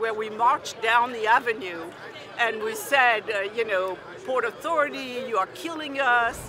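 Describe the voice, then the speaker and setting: A woman speaks at a moderate pace with ordinary pitch variation. The sound is dry with no echo, with noticeable background noise behind it. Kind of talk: interview answer. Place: street.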